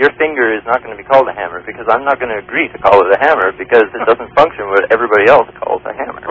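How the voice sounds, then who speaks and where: A man speaks at a very fast pace with hardly any pauses, a medium pitch, ordinary pitch variation and big swings in loudness. The sound is dry and close with no echo, though noticeable background noise is present. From Canada. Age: young. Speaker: evolution graduate student. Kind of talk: radio call-in debate. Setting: phone line.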